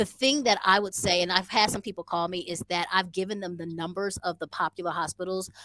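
Against a quiet background, a woman with an American accent speaks at a fairly quick pace in a fairly low pitch, her bright, sharp tone dry with no echo and her intonation fairly even. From American living in Rwanda. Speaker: podcast guest. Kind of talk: casual, slangy. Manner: fast talker. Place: home room. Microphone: headset.

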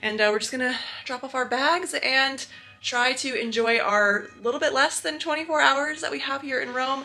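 Projecting her raised voice at a moderate pace with ordinary pitch variation, a woman speaks over faint music in the background. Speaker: travel vlogger. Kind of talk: casual vlog chat. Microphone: phone near.

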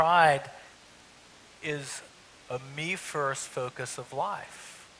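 A man's fairly high pitch, fairly bright tone, ordinary pitch variation and very slow pace

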